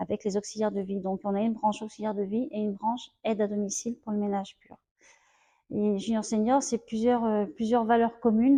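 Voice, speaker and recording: Fairly high-pitched female speech, fairly even in intonation and fairly quick in pace. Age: 50s. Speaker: home help worker. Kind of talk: interview testimony. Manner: hesitant, many fillers.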